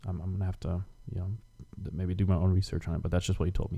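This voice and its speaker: A man's very deep, low pitch, somewhat breathy, with a dark, mellow tone. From East Germany. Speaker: podcast guest. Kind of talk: casual chat.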